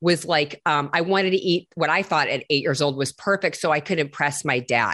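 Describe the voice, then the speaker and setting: The tone is animated, with ordinary pitch variation. The background is quiet. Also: woman. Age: 50s. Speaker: celebrity personal trainer. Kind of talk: casual chat.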